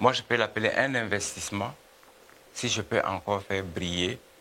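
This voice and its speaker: A man talks while clearly audible noise fills the background. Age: 70s. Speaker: music producer and businessman. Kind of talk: TV interview. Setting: TV studio. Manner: halting, many hesitations.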